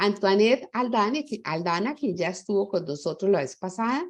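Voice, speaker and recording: A woman at a medium pitch with very wide pitch swings, a moderate pace and a quiet background. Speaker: webinar moderator. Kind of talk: panel webinar introduction.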